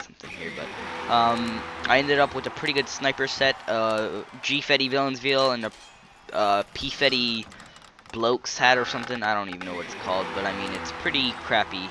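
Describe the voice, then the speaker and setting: A man's voice amid noticeable background noise. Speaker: gaming video creator. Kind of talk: gameplay commentary. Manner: hesitant, many fillers; fast.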